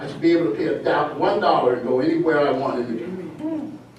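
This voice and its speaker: With audible room echo and noticeable background noise, a man talks at a high pitch with very wide pitch swings. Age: 60s. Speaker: public commenter at planning meeting. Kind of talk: public comment. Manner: animated.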